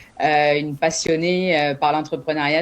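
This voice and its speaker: With fairly even intonation, this woman talks in a very deep, low pitch. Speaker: entrepreneur, business incubator founder. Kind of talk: interview at a job fair presentation. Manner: many hesitations and filler sounds.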